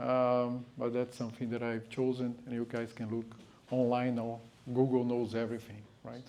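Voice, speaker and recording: A man's medium-pitched, dark and mellow voice with a Brazilian Portuguese accent, flat monotone intonation, a moderate pace and audible room echo. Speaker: guest speaker. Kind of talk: lecture. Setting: talk to a live audience in a house. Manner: halting, many fillers.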